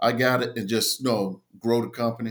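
A man with an American accent and a plain, everyday voice, medium in pitch, fairly even in intonation, at a moderate pace. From US South, Tidewater Virginia. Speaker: army veteran and small business owner. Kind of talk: casual interview.

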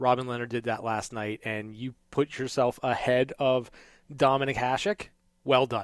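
A man's ordinary speaking voice, medium in pitch, at a moderate pace with fairly even intonation and a dry, close sound with no echo. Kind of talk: studio sports talk show analysis, not live play-by-play. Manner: polished, measured broadcaster delivery, opinionated and warm.

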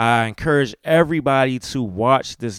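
An animated man with lively intonation, in a dry, close sound with no echo and a very clean recording with a silent background. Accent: Maryland. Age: 40s. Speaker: podcast host. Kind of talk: casual monologue podcast. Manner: casual, animated.

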